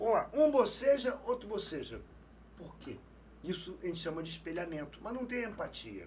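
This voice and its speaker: Pitched high, a man speaks with lively intonation and big swings in loudness. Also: moderate pace. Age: 60s. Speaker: non-verbal language expert. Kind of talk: interview.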